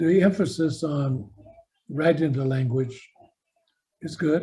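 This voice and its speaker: A man speaks very slowly in a fairly high, somewhat breathy voice. His tone is dark and mellow, with ordinary pitch variation. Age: 70s. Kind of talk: speech at a language gathering.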